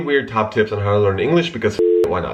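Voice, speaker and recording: Over noticeable background noise, a man with an American accent talks in a lively intonation. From Russia, raised in US from childhood. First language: Russian. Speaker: YouTuber. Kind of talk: casual vlog talk.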